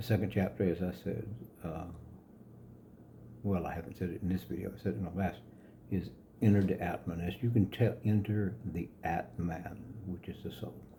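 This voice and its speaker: With a calm tone and vocal fry, a man speaks in a very deep, low, dark, mellow voice at a moderate pace, leaving long, frequent pauses. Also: ordinary pitch variation. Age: 70s. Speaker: yoga philosophy author. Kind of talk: reading own book with commentary to camera. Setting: home studio.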